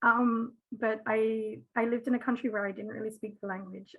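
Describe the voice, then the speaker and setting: Somewhat breathy and fairly high-pitched, a woman with an Australian accent speaks at a moderate pace with fairly even intonation. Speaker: parent of twins, patient advocate. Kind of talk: panel discussion.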